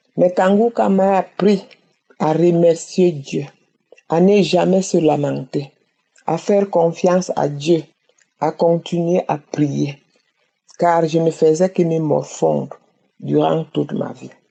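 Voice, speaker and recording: Delivery is very slow, broken by long, frequent pauses. The intonation stays fairly even. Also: woman, fairly low pitch for a woman. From Cameroon. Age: 60s. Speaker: testimony giver. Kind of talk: testimony.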